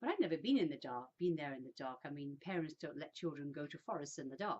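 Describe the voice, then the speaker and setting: In an English accent, a woman with a very deep, low voice talks very fast, with big swings in loudness and ordinary pitch variation. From England, Birmingham and a new town near London. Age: 60s. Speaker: vlogger. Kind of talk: personal storytelling monologue. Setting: indoors, sitting in a room. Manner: casual, with hesitations.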